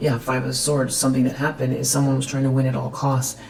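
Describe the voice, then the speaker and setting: A woman's very deep, low voice in a room with audible echo. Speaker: tarot reader. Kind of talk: tarot reading. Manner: stuttering; hesitant, many fillers.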